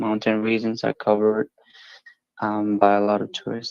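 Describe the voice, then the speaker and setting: A man's fairly low-pitched, monotone, flat voice at a moderate pace, with music in the background. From Nepal. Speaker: language exchange partner. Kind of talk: casual chat.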